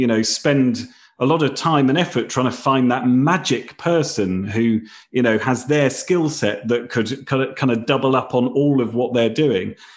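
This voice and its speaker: On a very clean recording with a silent background, a man with a British accent speaks at a medium pitch and moderate pace, with ordinary pitch variation. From Britain. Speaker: company founder and author. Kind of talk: casual interview.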